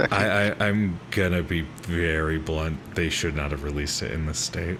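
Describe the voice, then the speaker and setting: Audible room echo surrounds a man with a very deep, low pitch, speaking at a moderate pace with ordinary pitch variation. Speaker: vtuber streamer. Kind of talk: casual chat. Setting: live stream with voice chat. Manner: speaks in normal lower voice instead of usual higher one.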